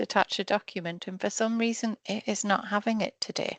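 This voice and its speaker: A woman speaks in a normal speaking voice at medium pitch and a moderate pace. Her intonation is fairly even, the background is quiet, and the sound is dry and close with no echo. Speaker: research trainer. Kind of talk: online training session. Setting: video call.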